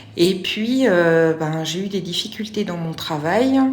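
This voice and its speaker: A woman speaks very slowly in a fairly low pitch with ordinary pitch variation. Audible room echo and noticeable background noise accompany her. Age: 40s. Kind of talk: testimony. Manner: halting, many hesitations.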